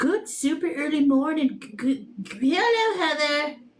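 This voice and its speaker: Over noticeable background noise, a woman with a strong Mexican accent sounds playful, her pitch swinging very widely. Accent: heavy Mexican accent when speaking normally. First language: Spanish. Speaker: tarot reader livestreamer. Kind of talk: casual livestream chat with viewers. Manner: playful, uses funny put-on voices.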